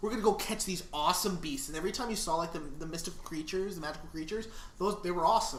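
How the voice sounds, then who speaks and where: A man's voice with audible room echo. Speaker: podcast co-host. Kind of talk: casual chat. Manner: mumbling at times.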